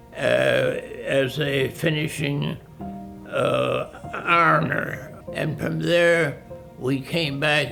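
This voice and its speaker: Music runs behind the voice. The speaker is a man. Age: 80s+. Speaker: war veteran. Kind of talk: interview answer.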